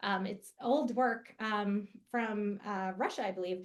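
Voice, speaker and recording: The woman speaking has a bright, sharp tone. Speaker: math education presenter. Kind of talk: educational webinar presentation. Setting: online webinar. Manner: fast; casual, with many fillers.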